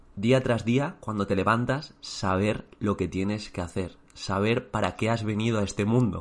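A plain, everyday voice, a man with a fairly low pitch speaks at a moderate pace with ordinary pitch variation over a quiet background. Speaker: teacher and exam coach. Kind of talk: motivational talk.

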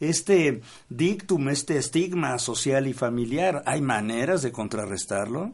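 Lively intonation runs through a man's slightly breathy speech. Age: old. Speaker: radio host. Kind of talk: radio talk show.

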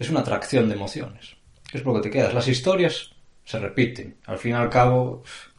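The voice belongs to a man and sits at a medium pitch. It sounds somewhat breathy. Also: ordinary pitch variation, moderate pace. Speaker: podcast co-host. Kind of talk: casual chat.

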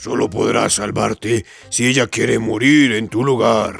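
Faint music plays behind a man doing a raspy, put-on character voice at medium pitch and a fairly slow pace. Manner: wrathful.

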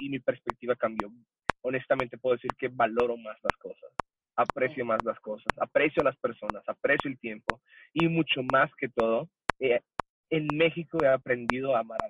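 With an ordinary speaking voice, a man speaks at a moderate pace with medium pitch and fairly even intonation, in a dry, close sound with no echo. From El Paso, Texas (US–Mexico border). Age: 20s. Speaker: church worship musician. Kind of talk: casual interview chat.

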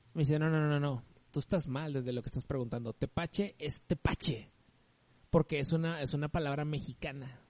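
Fairly quick and animated, a man's voice comes through dry and close with no echo. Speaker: podcast co-host. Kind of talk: casual chat.

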